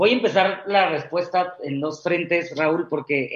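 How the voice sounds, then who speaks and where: This man speaks with a high pitch. His pitch varies in an ordinary way. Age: 30s. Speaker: executive recruiter. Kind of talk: interview.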